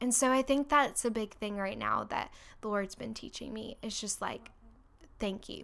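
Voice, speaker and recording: An ordinary speaking voice from a woman with an American accent, fairly high pitch, fairly even intonation, moderate pace and big swings in loudness. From Orlando, Florida. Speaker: worship leader. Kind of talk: casual chat.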